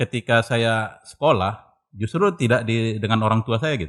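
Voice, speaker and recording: On a very clean recording with a silent background, a man speaks at a fairly slow pace with lively intonation and a bright, sharp tone. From North Sumatra, Indonesia (Medan/Belawan, Tarutung). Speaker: cultural researcher. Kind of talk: casual interview. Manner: halting.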